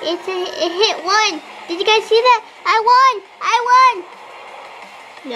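A squeaky, put-on character voice speaks at a very slow pace. Clear background noise runs behind it. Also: woman, extremely high pitch for a woman. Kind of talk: excited gameplay commentary. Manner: excited, triumphant.

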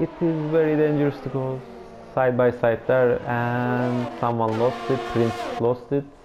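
Over noticeable background noise, a man speaks at a medium pitch and a fairly slow pace with fairly even intonation. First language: not English. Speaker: esports race commentator. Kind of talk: live commentary. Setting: recorded video commentary of game. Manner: halting, filler-heavy.

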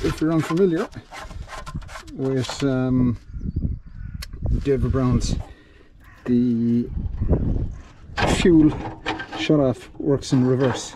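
Noticeable background noise surrounds a man's voice, recorded in a dry sound with no echo. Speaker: mechanic restoring an old tractor. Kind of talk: commentary. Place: farm machine. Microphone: phone near.

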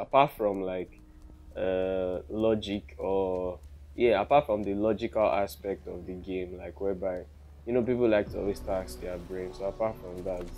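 Speaking with a Nigerian accent at a moderate pace, the voice shows big swings in loudness and ordinary pitch variation. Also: man, very deep, low pitch for a man. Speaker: gaming commentator. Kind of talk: casual gameplay commentary.

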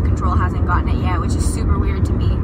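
A woman is speaking. Loud background noise surrounds her voice. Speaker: vlogger. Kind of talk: casual vlog chat. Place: car. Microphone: phone near.

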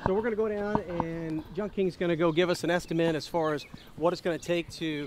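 A man with a high pitch and fairly even intonation talks at a fairly quick pace in a dry sound with no echo and light background noise. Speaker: real estate investor host. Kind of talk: casual vlog chat. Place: street.

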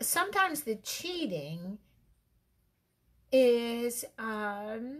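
A woman speaks very slowly at a fairly high pitch, her pitch swinging very widely, with long, frequent pauses over a quiet background. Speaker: relationship advice host. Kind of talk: casual talk to camera. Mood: reflective, mildly playful. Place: home room. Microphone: webcam.

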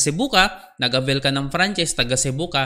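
A man speaks at a fairly quick pace with a bright, sharp tone. His pitch varies in an ordinary way over a quiet background. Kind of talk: business presentation.

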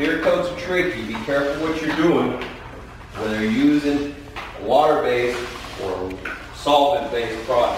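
There is strong room echo and light background noise as a man speaks. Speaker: floor coating contractor. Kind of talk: tutorial. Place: garage.

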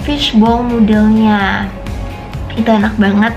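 Clear music plays in the background as a woman speaks. Her intonation is monotone and flat, and her pace is fairly slow. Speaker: travel vlogger. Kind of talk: casual vlog chat. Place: home room. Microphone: phone near.

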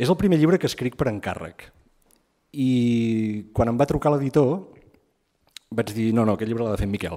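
Against a quiet background, a man speaks in a dark, mellow tone with lively intonation. His pace is moderate, with long, frequent pauses. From Empordà, Catalonia (Begur); Catalonia. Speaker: writer and anthropologist. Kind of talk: book presentation talk. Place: hall.

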